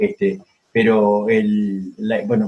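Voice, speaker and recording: A man talks in a somewhat breathy voice that swings very widely in pitch. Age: 70s. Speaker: historian. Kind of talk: interview. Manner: halting.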